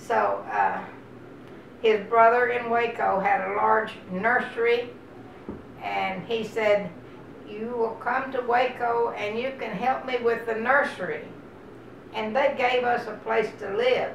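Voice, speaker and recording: A woman with an American accent and a fairly high pitch, at a very slow pace with long, frequent pauses and fairly even intonation, over noticeable background noise and audible room echo. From Texas. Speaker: oral history interviewee. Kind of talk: oral history interview. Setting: at her home.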